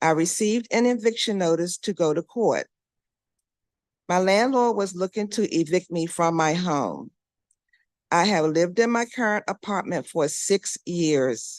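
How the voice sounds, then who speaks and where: A woman speaks in a normal speaking voice at a medium pitch, with lively intonation and a fairly slow pace. The sound is dry and close with no echo, over a quiet background. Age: 60s. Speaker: public witness. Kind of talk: public testimony. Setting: council hearing room.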